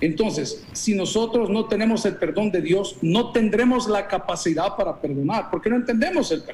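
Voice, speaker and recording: A man with a high voice speaks with lively intonation over light background noise. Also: moderate pace, hardly any pauses. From El Salvador. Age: 50s. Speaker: pastor. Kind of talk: interview. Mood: earnest, preaching tone. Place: office. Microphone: video call.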